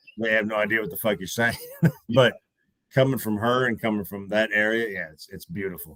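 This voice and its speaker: He speaks at a fairly quick pace with a fairly low pitch. His tone is bright and sharp, and his intonation stays fairly even. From US Midwest (Iowa/Minnesota). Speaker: podcast co-host. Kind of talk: casual chat.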